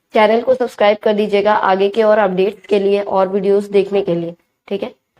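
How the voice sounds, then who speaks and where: A woman speaks at medium pitch with a dark, mellow tone in a monotone, flat intonation. Her pace is moderate, and the sound is dry and close with no echo. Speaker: commerce teacher. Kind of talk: tutorial.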